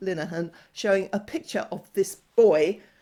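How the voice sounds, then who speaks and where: A woman's plain, everyday voice, medium in pitch, with lively intonation. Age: 60s. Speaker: gender-critical commentator YouTuber. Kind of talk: monologue commentary video.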